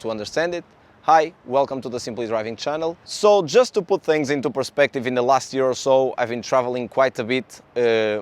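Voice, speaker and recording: In a Portuguese accent, a man speaks at a fairly quick pace with hardly any pauses, at medium pitch with ordinary pitch variation. The sound is dry and close, with no echo. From Portugal. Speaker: car YouTuber. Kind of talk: casual vlog talk.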